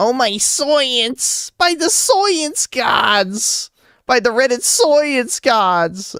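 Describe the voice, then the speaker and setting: A man's put-on character voice at an extremely high pitch, very wide pitch swings, a very slow pace and very even loudness, in a dry, close sound with no echo. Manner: nerdy, excited, exaggerated.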